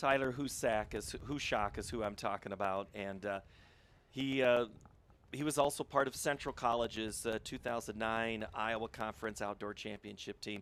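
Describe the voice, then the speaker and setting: On a very clean recording with a silent background, a man with a plain, everyday voice speaks at medium pitch and a moderate pace with fairly even intonation. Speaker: play-by-play sports announcer. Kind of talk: live commentary.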